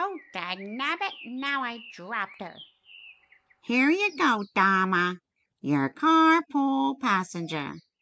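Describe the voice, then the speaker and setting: A woman speaks very slowly in a put-on character voice, pitched fairly high. Her pitch swings very widely against a quiet background. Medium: short film. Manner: folksy, cheeky.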